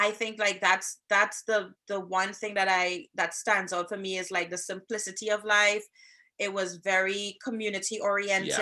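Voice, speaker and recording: With a Trinidadian accent, a woman speaks at a moderate pace and a medium pitch, her tone bright and sharp and her intonation flat and monotone. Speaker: podcast co-host, social worker and relationship coach. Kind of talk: casual chat.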